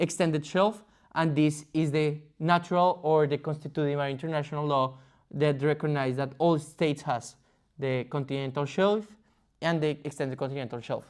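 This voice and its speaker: A man speaks with a Spanish accent at a moderate pace and fairly even intonation. The recording is very clean, with a silent background. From Colombia. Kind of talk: explainer presentation. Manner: halting, with fillers and restarts.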